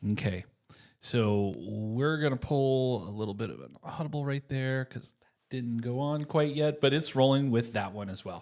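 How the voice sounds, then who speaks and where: This speaker has an ordinary speaking voice with an American accent and ordinary pitch variation. The pace is moderate, and the loudness swings widely. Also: man, medium pitch for a man. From United States. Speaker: podcast host and mortgage lender. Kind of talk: casual interview chat.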